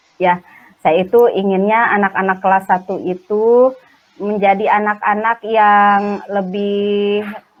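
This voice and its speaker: A woman at a very slow pace, her loudness very even. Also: medium pitch for a woman, fairly even intonation. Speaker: primary school teacher. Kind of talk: role-play coaching conversation. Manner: hesitant, many fillers.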